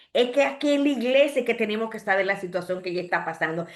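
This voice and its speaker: Audible room echo surrounds a woman whose fairly high pitch comes with lively intonation. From Dominican Republic, Santo Domingo. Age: 60s. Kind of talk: sermon.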